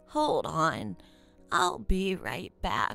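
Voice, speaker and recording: Faint music sits behind a woman doing a put-on character voice at a fairly low pitch. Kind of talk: roleplay character dialogue. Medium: solo performance. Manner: warm, gentle. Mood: kindly, curious.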